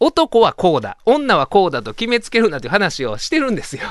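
With a Kansai accent, a man talks at a fairly quick pace with very wide pitch swings, the sound dry and close with no echo. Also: quiet background. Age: 40s. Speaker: radio host and lawyer. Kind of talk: casual radio talk.

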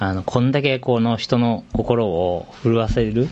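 A man talks in an ordinary speaking voice, medium in pitch with ordinary pitch variation. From Shizuoka, Japan. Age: 40s. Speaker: fashion company CEO. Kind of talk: casual interview.

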